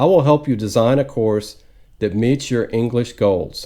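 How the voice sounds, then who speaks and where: In a very clean recording with a silent background, a man speaks at medium pitch with a dark, mellow tone and ordinary pitch variation. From United States. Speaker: retired teacher, online English tutor. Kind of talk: tutor introduction video.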